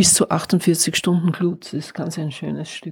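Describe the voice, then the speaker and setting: A woman speaks fairly slowly in a very deep, low, somewhat breathy voice with monotone, flat intonation. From not Carinthia (moved there as adult). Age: old. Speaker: artist. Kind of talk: guided tour conversation. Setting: at home, walking through house.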